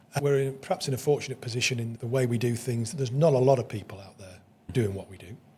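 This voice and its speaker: A man's somewhat breathy, dark and mellow voice at medium pitch, very fast pace, ordinary pitch variation and big swings in loudness. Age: 60s. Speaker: business owner. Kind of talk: casual chat. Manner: halting.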